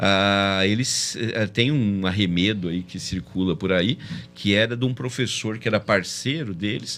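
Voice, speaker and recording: This man has a fairly low voice. His pitch varies in an ordinary way. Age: 60s. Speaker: math olympiad organizer. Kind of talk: casual chat. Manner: halting.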